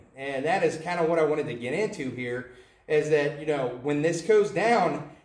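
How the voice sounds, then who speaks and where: A man with an American accent speaks with lively intonation amid audible room echo. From United States. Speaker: independent Baptist soul winner vlogger; preacher. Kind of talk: religious video monologue. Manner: hesitant, with filler words. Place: home room. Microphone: camera far.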